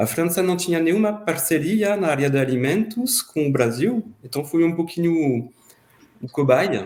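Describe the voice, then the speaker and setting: Speaking with a French accent, a man uses a high pitch and lively intonation. His pace is fairly slow and his loudness very even. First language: French (speaking Portuguese). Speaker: former student. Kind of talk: podcast interview. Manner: halting.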